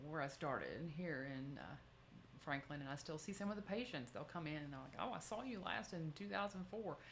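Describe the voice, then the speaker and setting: Lively intonation at a fairly quick pace, with audible room echo. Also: woman. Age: 50s. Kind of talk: talk answering audience questions. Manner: fast.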